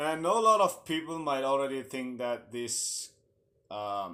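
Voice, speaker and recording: A man's very slow speech with ordinary pitch variation, in a very clean recording with a silent background. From Mizoram, northeast India. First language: Mizo. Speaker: vlogger. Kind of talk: casual vlog storytelling.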